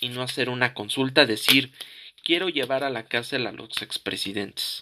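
The man's voice has a bright, sharp tone. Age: 20s. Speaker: political commentary podcaster. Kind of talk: opinion monologue. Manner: halting, many fillers and repetitions.

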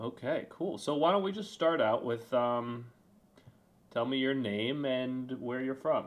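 A man with a medium-pitched voice and ordinary pitch variation has an ordinary speaking voice. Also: fairly slow pace. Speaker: interviewer, nephew. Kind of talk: casual interview.

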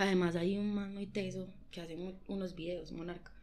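A woman talks in a fairly low pitch with a monotone, flat intonation. Audible room echo surrounds her. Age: young. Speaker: dancer. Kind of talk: casual chat.

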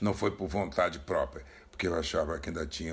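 A man's very deep, low, somewhat breathy voice. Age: 70s. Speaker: retired banker. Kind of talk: recorded testimony.

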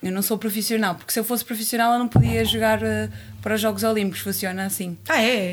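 A woman is speaking. Her pace is very fast. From Cape Verde. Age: 30s. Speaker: boxer. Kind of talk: casual chat.

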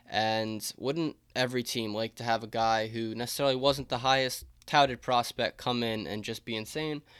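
A man with a plain, everyday voice talks at a moderate pace and medium pitch, his intonation fairly even. The recording is very clean, with a silent background. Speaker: baseball podcaster. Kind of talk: solo podcast monologue, sports preview.

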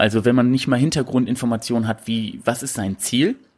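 A man with a medium pitch talks at a fairly quick pace. It is an ordinary speaking voice, captured in a very clean recording with a silent background. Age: 20s. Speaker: bodybuilder and prep coach. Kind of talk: casual interview.

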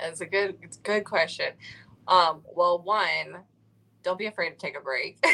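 Bright and sharp in tone, a woman's medium-pitched voice moves at a moderate pace with fairly even intonation but big swings in loudness. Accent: American. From Ohio, US. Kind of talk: interview.

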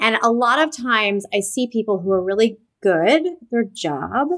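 Speaking at a fairly high pitch, a woman sounds animated and enthusiastic, with lively intonation. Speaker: podcast host and author. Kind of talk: interview, casual conversational chat. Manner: animated, enthusiastic.

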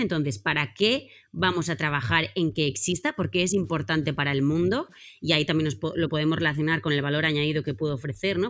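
With a very clean recording and a silent background, a woman with a fairly low pitch speaks very fast in an animated tone. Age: 30s. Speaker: team facilitator and author. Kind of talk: interview.

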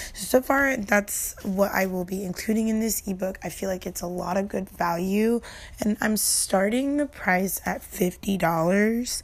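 In an ordinary speaking voice, a woman talks at a fairly slow pace with hardly any pauses, her medium pitch showing ordinary pitch variation. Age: 20s. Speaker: streamer and podcast host. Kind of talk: casual solo podcast talk. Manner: casual and conversational.

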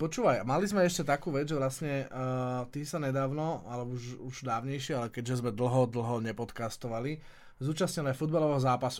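A man's ordinary speaking voice, medium in pitch, with ordinary pitch variation and a fairly quick pace. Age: 40s. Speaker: businessman and podcast co-host. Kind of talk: casual chat.

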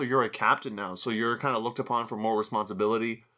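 Bright and sharp in tone, a man with a Canadian accent talks at a very fast pace. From Canada. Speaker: podcast host and sports commentator. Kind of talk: casual interview. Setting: video call.

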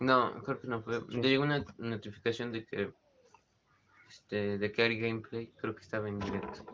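Monotone and flat, a man talks at a moderate pace in a medium pitch. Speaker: podcast co-host. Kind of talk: casual chat.

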